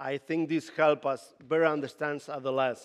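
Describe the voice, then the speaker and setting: A man with a Latin American accent speaks at a fairly high pitch. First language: Spanish. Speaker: youth ministry leader. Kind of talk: conference talk. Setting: stage with audience. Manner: halting.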